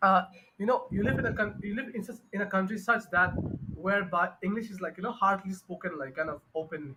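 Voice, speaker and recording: In a Bengali accent, a man talks at a very fast pace in a raised, projected voice, with a high pitch and ordinary pitch variation. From Bangladesh. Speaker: English teacher. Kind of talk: online tutoring conversation. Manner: halting, many fillers.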